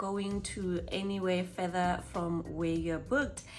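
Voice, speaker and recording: Over audible room echo, a woman talks at a fairly slow pace. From Botswana. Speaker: travel vlogger. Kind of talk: casual chat.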